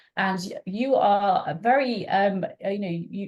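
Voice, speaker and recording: A woman talks with a slight British accent at a medium pitch, her tone dark and mellow and somewhat breathy. Her pitch varies in an ordinary way. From UK. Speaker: marine scientist. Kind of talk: webinar presentation. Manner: halting, many fillers.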